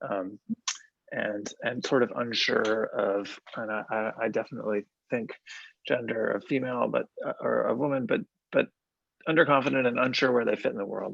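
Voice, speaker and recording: A man speaks quietly at a moderate pace. He takes long, frequent pauses. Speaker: educator. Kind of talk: casual discussion.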